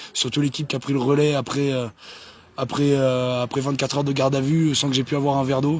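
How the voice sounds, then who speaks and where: A man with a fairly high pitch talks at a very fast pace in a monotone, flat intonation. Background noise is noticeable. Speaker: activist. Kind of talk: casual livestream chat. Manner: halting, many hesitations.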